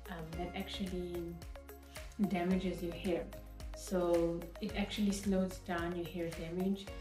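Clear music plays in the background as a woman speaks. She leaves long, frequent pauses. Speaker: natural hair vlogger. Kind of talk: casual talk to camera. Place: home room. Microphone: phone near.

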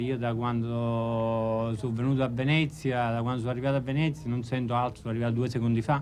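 Faint music plays in the background as the voice keeps a fairly even intonation. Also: man. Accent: Neapolitan. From Naples area, Italy. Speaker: actor and comedian. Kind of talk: interview answer. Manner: joking, playful. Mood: playful, joking. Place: home room.

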